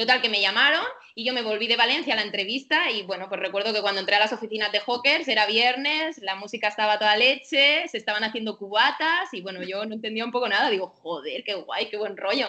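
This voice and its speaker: Over noticeable background noise, a woman talks very fast with hardly any pauses. Her pitch is fairly high and her intonation lively. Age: 30s. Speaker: dog and cat owner, former marketing worker. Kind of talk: casual interview.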